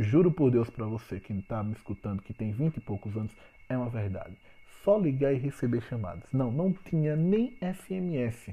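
A somewhat breathy male voice at a moderate pace, with very wide pitch swings. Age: 30s. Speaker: business consultant podcaster. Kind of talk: solo podcast talk. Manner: informal and chatty.

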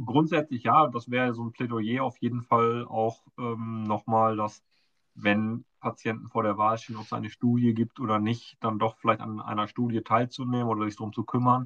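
In a dry, close recording with no echo, a man speaks at medium pitch and a moderate pace with monotone, flat intonation. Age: 40s. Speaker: patient advocate, foundation board member. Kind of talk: casual interview.

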